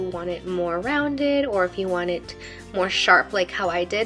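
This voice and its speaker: With music in the background, a woman speaks at a moderate pace and ordinary pitch variation. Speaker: makeup artist, beauty vlogger. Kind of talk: makeup tutorial voiceover. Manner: casual, chatty.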